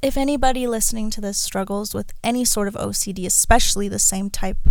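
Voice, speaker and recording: Room echo can be heard around this woman as she speaks at a medium speed. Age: 20s. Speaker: podcast host. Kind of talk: personal monologue.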